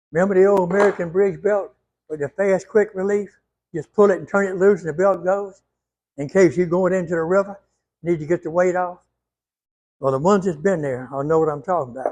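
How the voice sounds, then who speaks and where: Talking in a high voice with a Louisiana accent, a man moves at a fairly quick pace but leaves long, frequent pauses. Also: ordinary pitch variation. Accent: southern US, Louisiana. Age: 80s+. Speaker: retired ironworker. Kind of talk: tutorial.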